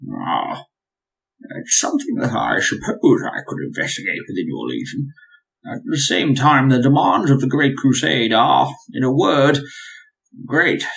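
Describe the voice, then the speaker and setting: A man's put-on character voice at a moderate pace, broken by long, frequent pauses. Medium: actual play. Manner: cultured, measured and polite.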